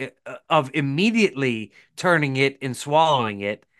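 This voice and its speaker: Against a quiet background, a man uses a normal speaking voice with lively intonation at a moderate pace. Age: 40s. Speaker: podcast co-host and lure maker. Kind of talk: casual chat.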